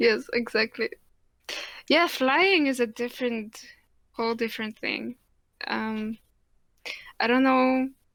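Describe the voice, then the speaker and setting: A high-pitched woman with a Polish accent, very slow pace and long, frequent pauses. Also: ordinary pitch variation, very clean recording, silent background. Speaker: podcast co-host. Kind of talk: casual chat.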